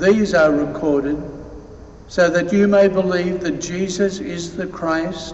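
A high-pitched man speaks very slowly with ordinary pitch variation and audible room echo. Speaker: deacon or priest reading the gospel. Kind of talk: gospel reading at mass. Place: church. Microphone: podium.

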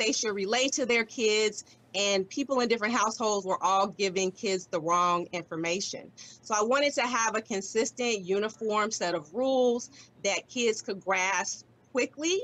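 Her pace fairly slow, a woman talks with ordinary pitch variation. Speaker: attorney, game creator. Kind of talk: interview answer. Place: home room. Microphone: video call.

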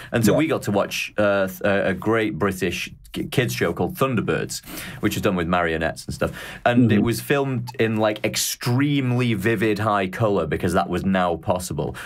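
Fairly low-pitched male speech in a Mancunian accent, lively intonation, moderate pace, quiet background. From Manchester, England. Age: young. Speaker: podcast host. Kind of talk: casual interview chat. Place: home room.

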